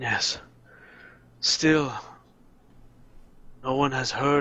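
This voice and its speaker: A man puts on a character voice. His intonation stays monotone and flat. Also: medium pitch for a man. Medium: actual play. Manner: measured, solemn.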